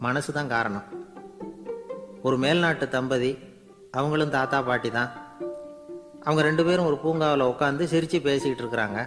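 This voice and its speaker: Music plays in the background. Over it, a man speaks with a fairly high pitch. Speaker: radio host and orator. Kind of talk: radio anecdote storytelling. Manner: simple colloquial, conversational.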